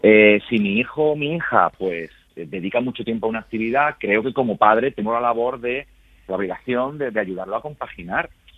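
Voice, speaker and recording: The speaker has a normal speaking voice, moving at a fairly quick pace with ordinary pitch variation. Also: man, medium pitch for a man. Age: 30s. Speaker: university professor. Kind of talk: interview.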